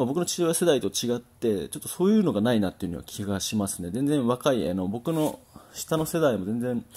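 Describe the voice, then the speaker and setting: On a very clean recording with a silent background, a man talks at a fairly quick pace. His medium-pitched voice has a dark, mellow tone and very wide pitch swings. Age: 30s. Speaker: boxing trainer, former champion boxer. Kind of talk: solo talk monologue. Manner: hesitant, many fillers.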